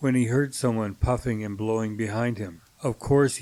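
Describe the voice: The delivery is plain reading aloud with fairly even intonation.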